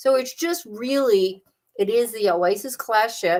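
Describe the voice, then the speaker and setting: A woman with a Southern US accent speaks with very wide pitch swings. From US South (the Carolinas). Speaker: travel agent. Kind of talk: casual livestream chat. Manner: animated.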